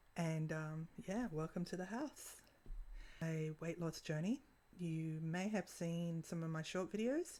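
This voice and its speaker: Her voice dark and mellow, a woman with an Australian accent speaks at a fairly low pitch and fairly slow pace with ordinary pitch variation. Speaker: vlogger. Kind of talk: casual vlog monologue. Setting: at home. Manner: halting, with long pauses.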